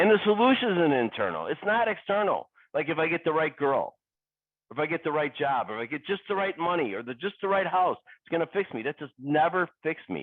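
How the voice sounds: The speaker moves at a fairly quick pace, with big pitch swings. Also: man, fairly high pitch for a man.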